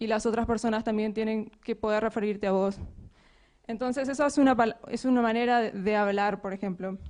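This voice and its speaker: Against a quiet background, a woman with a fairly high pitch talks at a fairly quick pace with fairly even intonation. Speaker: software developer and conference speaker. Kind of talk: conference talk.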